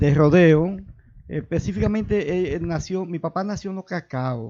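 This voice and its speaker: A man speaks with a high pitch at a fairly slow pace. His pitch variation is ordinary. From Dominican Republic, Santiago Rodríguez province. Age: 60s. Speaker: local politician. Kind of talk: interview. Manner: halting.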